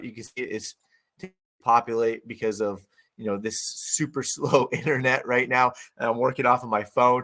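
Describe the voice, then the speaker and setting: Putting on a raspy character voice at medium pitch, a man talks at a moderate pace with fairly even intonation. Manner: low energy.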